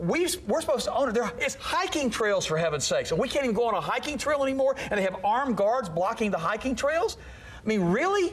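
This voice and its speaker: The speaker sounds animated, talking very fast with very wide pitch swings and very even loudness. Background noise is noticeable. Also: man, extremely high pitch for a man. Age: 50s. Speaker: health author. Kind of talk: talk show interview.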